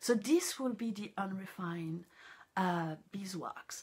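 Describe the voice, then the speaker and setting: The speaker is a woman with a medium pitch. Her pitch moves with ordinary variation. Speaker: encaustic painting teacher. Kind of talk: live stream tutorial. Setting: studio. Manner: halting, many fillers.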